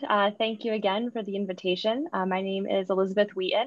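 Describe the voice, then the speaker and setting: A woman at a fairly quick pace, dry sound with no echo, quiet background. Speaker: panelist. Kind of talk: panel self-introduction. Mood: friendly, smiling. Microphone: video call.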